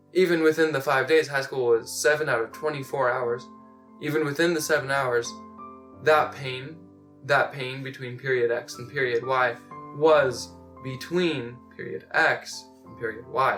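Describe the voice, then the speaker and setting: A man with ordinary pitch variation and big swings in loudness, over music in the background. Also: medium pitch for a man, moderate pace. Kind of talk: slam poetry performance.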